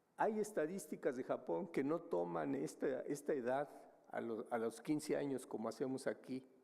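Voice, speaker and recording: Speaking at a fairly slow pace, a man with a medium pitch has a dark, mellow tone with vocal fry. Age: 70s. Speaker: demographer, researcher. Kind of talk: conference presentation. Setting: conference hall with audience. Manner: hesitant, many fillers.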